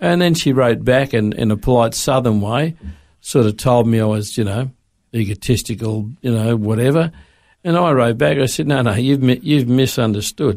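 A man's medium-pitched voice with an Australian accent, moderate pace, very even loudness and ordinary pitch variation, on a very clean recording with a silent background. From Australia, Sydney. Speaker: former police officer, radio guest. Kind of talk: casual interview. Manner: halting.

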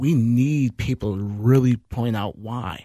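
A man has an unremarkable speaking voice at a medium pitch, with ordinary pitch variation. The sound is dry and close, with no echo. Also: very clean recording, silent background. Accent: American. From Minneapolis, Minnesota (North Side). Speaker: nonprofit managing director. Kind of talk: panel discussion. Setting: studio.

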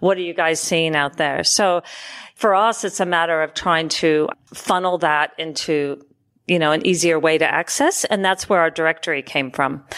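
A woman's unremarkable speaking voice, fairly low in pitch with fairly even intonation and very even loudness, on a very clean recording with a silent background. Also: moderate pace. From Oregon, US. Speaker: podcast host, chef and food consultant. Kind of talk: casual interview chat. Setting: studio.

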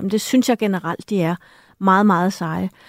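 A woman speaks at a medium pitch in an ordinary speaking voice, with fairly even intonation. The recording is very clean, with a silent background and a dry, close sound with no echo. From Denmark. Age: 50s. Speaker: author and journalist. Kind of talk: radio discussion. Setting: studio.

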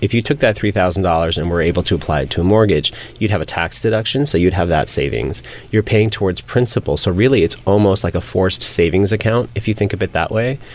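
Against noticeable background noise, a man with a General American accent speaks at a very fast pace in a very deep, low pitch with lively intonation. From California. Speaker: realtor and reality TV cast member. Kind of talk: interview.

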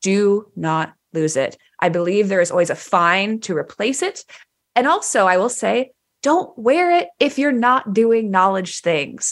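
Pitched at a medium level, a woman's voice moves in very wide pitch swings as she speaks at a fairly slow pace. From Texas, Dallas. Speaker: developer podcast co-host, tech company employee. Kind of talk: casual chat. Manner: loud.

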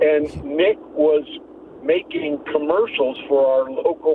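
This man talks fairly slowly while noticeable noise sounds in the background. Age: 60s. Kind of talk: call-in personal testimony. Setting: phone call. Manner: halting.

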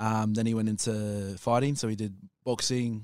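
A man's fairly low voice has a dark, mellow tone and monotone, flat intonation. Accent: Australian. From Brisbane, Australia. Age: 20s. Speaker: fitness trainer. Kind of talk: casual chat.

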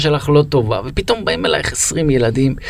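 With ordinary pitch variation and a moderate pace, a man talks amid noticeable background noise. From Israel, Be'er Sheva. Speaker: podcast host. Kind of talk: interview conversation.

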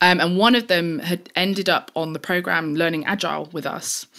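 A woman speaks with a London accent at a fairly low pitch. The recording is very clean, with a silent background. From East London, England. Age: 30s. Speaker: technologist and advocate for women in tech. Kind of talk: interview.

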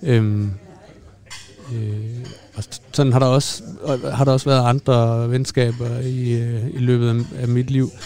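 Very slow and flat, this man's medium-pitched voice holds a monotone line broken by long, frequent pauses. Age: 30s. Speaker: doctor, former pathologist. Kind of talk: casual chat. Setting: restaurant. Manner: hesitant, many fillers.

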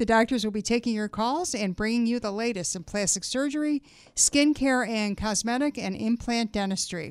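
A woman with an unremarkable speaking voice talks at a fairly high pitch with ordinary pitch variation in a dry, close sound with no echo. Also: moderate pace. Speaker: radio host. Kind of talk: radio interview. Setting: radio studio.

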